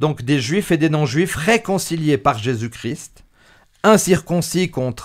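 Against a quiet background, a man speaks at a very slow pace. His intonation is lively. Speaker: religious show host. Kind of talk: bible study discussion. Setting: studio. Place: studio. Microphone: studio mic.

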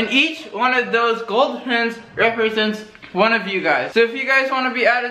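With audible room echo, a man uses a raised, projected voice with ordinary pitch variation. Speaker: vlogger. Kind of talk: casual vlog chat. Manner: slightly slurred post-surgery speech.

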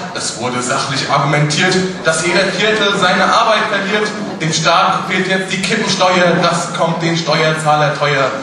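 With strong room echo and noticeable background noise, a man speaks at a fairly slow pace. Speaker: carnival speech performer. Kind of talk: carnival Büttenrede, rhymed comic speech to a live audience. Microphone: podium.

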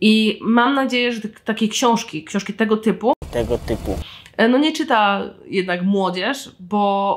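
A woman talks at a fairly slow pace. Her pitch varies an ordinary amount. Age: 20s. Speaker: podcast host and writer. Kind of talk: solo book review podcast. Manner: animated.

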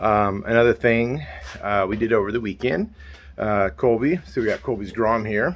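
There is light background noise as a man with vocal fry speaks at a moderate pace and a fairly low pitch. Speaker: motorcycle vlogger. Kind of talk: casual vlog chat. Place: garage. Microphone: phone near.

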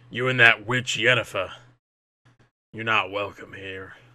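A man's put-on character voice, raspy and medium in pitch, with monotone, flat intonation at a moderate pace. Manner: hostile, unwelcoming.

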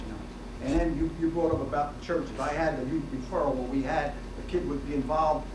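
A man at a very fast pace, over noticeable background noise. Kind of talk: public talk at a forum. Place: meeting room. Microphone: camera far.

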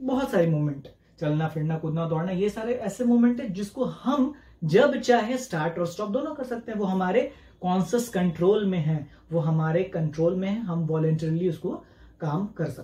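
A man with a high pitch talks at a fairly slow pace, and the room gives an audible echo. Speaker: teacher. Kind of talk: lecture. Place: home room.

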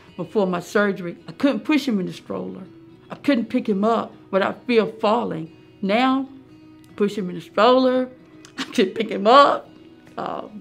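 A woman speaks with big swings in loudness. Faint music plays in the background. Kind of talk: interview answer. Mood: happy, grateful. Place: office.

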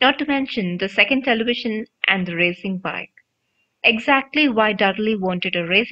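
Quiet surrounds the voice. It reads in an unforced manner.

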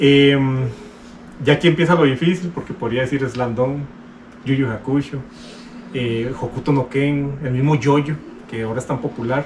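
Over noticeable background noise, a man talks at a moderate pace in a fairly high pitch, with fairly even intonation and long, frequent pauses. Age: 40s. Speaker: YouTuber, manga collector. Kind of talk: casual chat. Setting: Instagram live stream.

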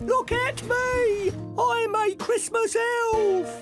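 Someone speaks very slowly in a put-on character voice with an extremely high pitch while clear music plays in the background.

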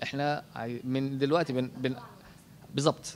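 There is light background noise as a man speaks at a medium pitch. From Egypt. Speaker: husband of the graduate, raised in an orphanage; interviewee. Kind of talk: interview testimony. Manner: halting, repeats words. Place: home room. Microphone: handheld.

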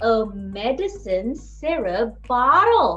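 Faint music plays in the background. A woman with a high pitch speaks at a very slow pace. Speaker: storyteller for children. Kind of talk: animated children's story narration. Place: home room. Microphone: webcam.

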